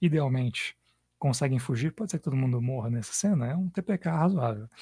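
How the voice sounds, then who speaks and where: Soft-spoken and somewhat breathy, a man talks at a moderate pace in a fairly high voice with a dark, mellow tone. His pitch varies in an ordinary way, and the sound is dry and close with no echo. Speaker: podcast host and game master. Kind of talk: casual chat while designing an RPG adventure. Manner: soft-spoken, hard to hear.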